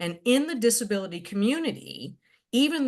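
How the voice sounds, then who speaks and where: With an American accent and vocal fry, a woman speaks at a moderate pace. Her pitch swings very widely against a quiet background. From Connecticut. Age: 60s. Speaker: retired worker with spina bifida. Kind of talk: webinar discussion.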